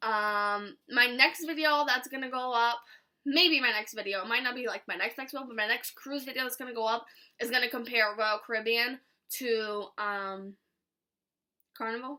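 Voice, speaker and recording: The tone is bright and sharp, delivered at a fairly quick pace. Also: woman. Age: 20s. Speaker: vlogger. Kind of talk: casual chat. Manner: fast.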